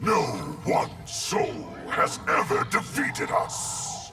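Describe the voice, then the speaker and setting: Shouting in a cartoonish character voice at an extremely high pitch, a man speaks very slowly amid strong echo and faint background music. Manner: cold, speaks as 'we'.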